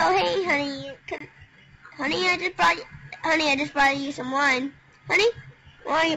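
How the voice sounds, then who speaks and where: A put-on character voice with a high pitch moves at a fairly quick pace, broken by long, frequent pauses. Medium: comedy sketch. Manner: erratic.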